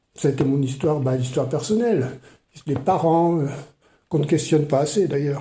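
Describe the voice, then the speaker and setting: Somewhat breathy and dark, mellow in tone, the voice moves at a fairly quick pace with very even loudness, long, frequent pauses and audible room echo. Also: man, fairly high pitch for a man, ordinary pitch variation. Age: 70s. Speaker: retired maths teacher and writer. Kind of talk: podcast interview. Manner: hesitant, many fillers.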